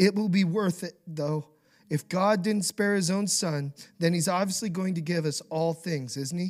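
The pace is moderate. The speaker has an American accent. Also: man, high pitch for a man, ordinary pitch variation. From Idaho, US. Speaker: pastor. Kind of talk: sermon.

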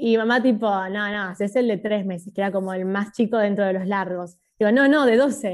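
An ordinary speaking voice from a woman, medium in pitch with ordinary pitch variation, at a moderate pace with hardly any pauses over a quiet background. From Buenos Aires, Argentina. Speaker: YouTuber. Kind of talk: casual interview.

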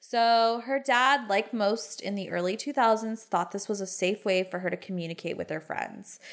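In a very clean recording with a silent background, a woman of medium pitch speaks at a moderate pace in an animated tone with ordinary pitch variation. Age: 30s. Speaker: podcast co-host. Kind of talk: casual true-crime storytelling chat. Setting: home podcast room.

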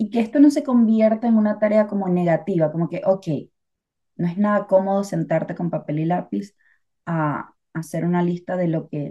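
Speaking at a moderate pace, a woman has a medium pitch, a dark, mellow tone and ordinary pitch variation. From Venezuela. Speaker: podcast co-host. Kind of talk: casual chat. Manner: talkative.

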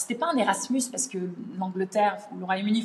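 Her pitch is medium, with ordinary variation. The woman talks at a very fast pace. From France. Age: 30s. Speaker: language teacher. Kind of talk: casual interview. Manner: hesitant, many fillers.

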